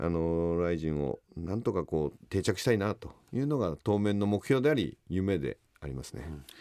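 At a moderate pace, a man with a very deep, low pitch and a dark, mellow tone speaks with lively intonation, hardly any pauses, and big swings in loudness. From Japan, Aichi. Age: 50s. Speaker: combat sports event organizer. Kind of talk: radio interview.

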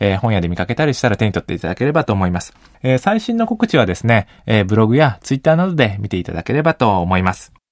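A man at a very fast pace with lively intonation. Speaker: radio host and sociologist. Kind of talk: radio interview chat. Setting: studio.

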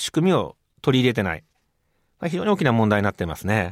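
A man speaks at a fairly quick pace with very wide pitch swings. The recording is very clean with a silent background, dry and close with no echo. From Japan, Hyogo Prefecture. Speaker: physician and medical research professor. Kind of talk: interview.

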